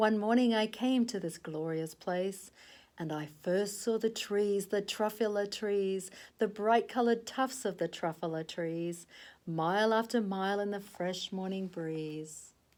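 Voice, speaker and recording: A woman puts on a nasal character voice at a medium pitch. She speaks at a moderate pace. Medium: read story. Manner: secretive.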